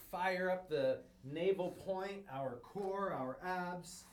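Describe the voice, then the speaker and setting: The voice has an energetic, warm tone. Noticeable background noise sits behind it. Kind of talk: guided breathwork and movement class; live-streamed online class. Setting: online livestream, instructor speaking to viewers at home. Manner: warm, encouraging, and nurturing; rhythmic, coaching cues, energetic.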